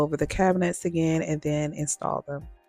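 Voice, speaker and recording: Over music in the background, a woman speaks at a moderate pace, her sound dry and close with no echo. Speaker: DIY home renovation vlogger. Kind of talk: casual talk to camera.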